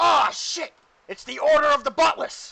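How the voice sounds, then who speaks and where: Putting on a character voice, a man talks at a moderate pace at an extremely high pitch. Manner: startled, alarmed exclamation.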